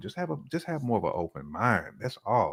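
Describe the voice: A man talks at a fairly quick pace with big pitch swings and a slightly husky edge. The recording is very clean with a silent background.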